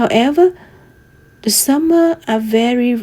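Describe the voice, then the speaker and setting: In a Vietnamese accent, a woman speaks at a high pitch and a fairly slow pace. Her pitch varies in an ordinary way, and noticeable background noise can be heard. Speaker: student. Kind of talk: class presentation.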